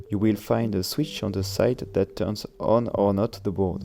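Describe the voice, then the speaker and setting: With a French accent, a man speaks in a fairly low pitch with a dark, mellow tone. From France. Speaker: electronics maker reviewing his own board. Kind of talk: tutorial.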